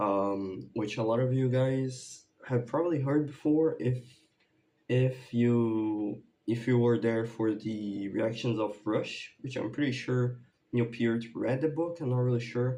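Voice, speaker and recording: A man speaks at medium pitch in a Brazilian accent, with a dark, mellow tone. His pace is fairly slow and his intonation fairly even. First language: Portuguese. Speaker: YouTuber, music reaction creator. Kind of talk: casual vlog update. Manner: halting, many fillers.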